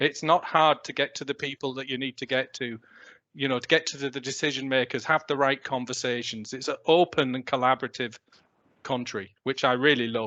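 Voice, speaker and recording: A man with a British accent and a bright, sharp tone speaks at a medium pitch and fairly quick pace with fairly even intonation, the sound dry and close with no echo over a quiet background. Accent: non-Irish, British. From UK. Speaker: technology industry executive. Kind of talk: panel discussion. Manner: hesitant, many fillers.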